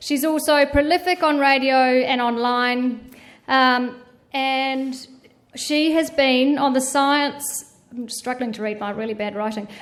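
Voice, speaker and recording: A fairly slow pace with ordinary pitch variation. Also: woman, high pitch for a woman. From New Zealand. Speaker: event organiser introducing moderator. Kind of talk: formal introduction speech.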